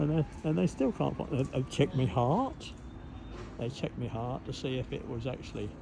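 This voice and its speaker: Here a man talks with an East Anglian accent at medium pitch. He keeps a moderate pace and ordinary pitch variation. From Cambridgeshire, England. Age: 80s+. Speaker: local resident. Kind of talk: casual chat. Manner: halting, repetitive.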